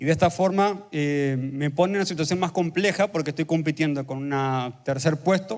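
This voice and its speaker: A man talks at a fairly high pitch. His pitch variation is ordinary. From Argentina, Buenos Aires province. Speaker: pastor. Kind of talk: sermon. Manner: fast.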